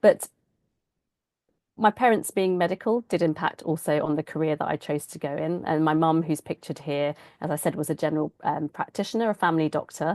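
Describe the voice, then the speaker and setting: Speaking at a fairly quick pace in a British accent, the voice shows ordinary pitch variation over a quiet background. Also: woman, very deep, low pitch for a woman, dry, close sound with no echo. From England. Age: 40s. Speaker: doctor and author. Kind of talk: keynote talk.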